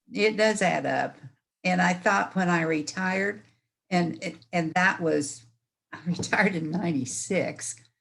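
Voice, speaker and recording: Using a fairly slow pace, a woman speaks with a fairly low pitch, vocal fry and ordinary pitch variation. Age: 80s+. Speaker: class participant, retired amateur painter. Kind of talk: casual chat. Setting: video call.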